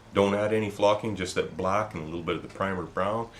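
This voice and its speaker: With vocal fry and lively intonation, a man talks at a fairly low pitch. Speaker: crafts tutorial maker. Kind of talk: tutorial. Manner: casual, repeated filler 'okay'.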